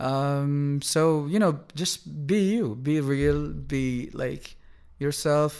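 Ordinary pitch variation at a very slow pace. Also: man, fairly high pitch for a man. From Kuwait. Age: 20s. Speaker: singer-songwriter. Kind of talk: casual interview chat. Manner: halting, casual.

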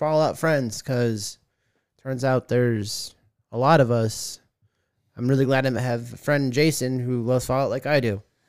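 On a very clean recording with a silent background, a man with an American accent talks at a moderate pace in a medium pitch. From Arizona, Tucson. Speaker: podcast co-host. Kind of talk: casual chat. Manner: animated.

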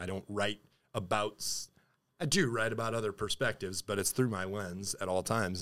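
The recording is very clean, its background silent. A man speaks at a fairly quick pace, his fairly low pitch held in fairly even intonation. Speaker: metal band frontman and vocalist. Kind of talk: casual interview chat. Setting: studio.

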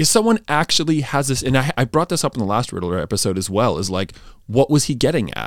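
Recorded very cleanly against a silent background, with a dry, close sound and no echo, a man of medium pitch talks very fast with vocal fry and very wide pitch swings. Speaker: podcast co-host. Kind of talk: casual chat.

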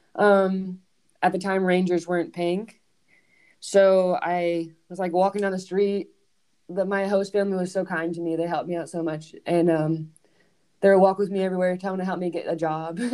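A woman with a Southern US accent, a medium pitch and a dark, mellow tone in monotone, flat intonation. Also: moderate pace. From US South. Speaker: professional soccer player. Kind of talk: casual interview.

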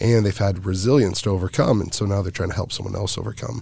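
Talking at a very fast pace with an American accent, a man has a very deep, low pitch, ordinary pitch variation, and a somewhat breathy sound. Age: 30s. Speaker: professional MMA fighter and nonprofit founder. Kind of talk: casual interview.

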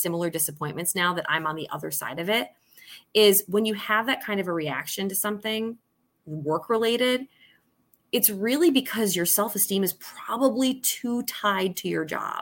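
In a very clean recording with a silent background, a woman with an American accent speaks at a moderate pace in a plain, everyday voice, medium in pitch, with lively intonation. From Syracuse area, upstate New York. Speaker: TV news director, former news anchor. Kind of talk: casual interview.

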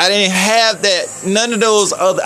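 A man's raised, projected voice comes through over noticeable background noise. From Chicago, US. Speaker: independent musician and podcaster. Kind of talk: solo monologue, casual rant. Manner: rambling, conversational.

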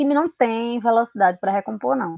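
Here is a woman with a plain, everyday voice. Her pitch is fairly high and her intonation lively. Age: 20s. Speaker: football commentator and historian. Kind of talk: casual football discussion.

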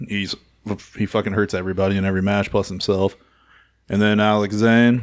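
A man with a fairly low pitch talks at a fairly quick pace in a flat monotone, broken by long, frequent pauses, on a very clean recording with a silent background. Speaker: wrestling podcast co-host. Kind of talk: casual chat. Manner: mumbling.

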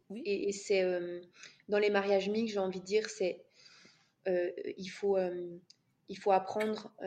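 The tone is dark and mellow, the intonation flat and monotone. Speech comes very slowly, broken by long, frequent pauses. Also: woman, medium pitch for a woman. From France. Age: 30s. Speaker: couples coach. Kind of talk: podcast interview. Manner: halting.

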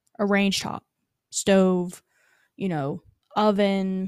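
Here a woman with an American accent speaks at a medium pitch. The sound is dry and close with no echo, on a very clean recording with a silent background. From North Carolina, Randolph County. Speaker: local food systems extension agent. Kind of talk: casual interview.

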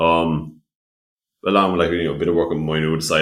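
A man's very deep, low voice in a Limerick accent at a very fast pace. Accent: Irish (Limerick). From Ireland, West Limerick. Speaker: young entrepreneur and student. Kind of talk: casual interview chat. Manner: talkative, many fillers.

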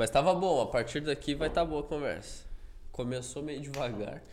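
This man's moderately paced speech carries audible room echo. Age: 30s. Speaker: podcast co-host. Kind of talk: casual chat.

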